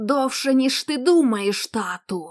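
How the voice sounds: A woman does a put-on character voice, hoarse and croaky, high in pitch, at a fairly slow pace.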